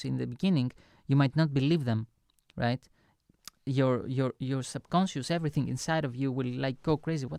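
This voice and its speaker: A man with a non-native accent speaks at a medium pitch and moderate pace, his dark, mellow tone carried by fairly even intonation. The sound is dry and close with no echo, in a very clean recording with a silent background. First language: not English. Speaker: online lecturer and music producer. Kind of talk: motivational lecture. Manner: halting, many fillers and restarts.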